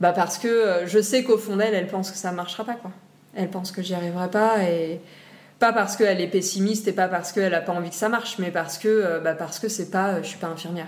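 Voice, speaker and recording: The delivery comes at a very fast pace. Intonation stays fairly even. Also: woman, medium pitch for a woman. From Réunion Island. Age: 30s. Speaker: marine biology graduate. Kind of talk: interview. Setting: at her home. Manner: hesitant, many fillers.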